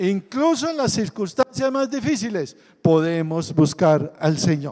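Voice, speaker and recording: Very slowly, a man speaks at a high pitch with very wide pitch swings. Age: 60s. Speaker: pastor. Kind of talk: sermon.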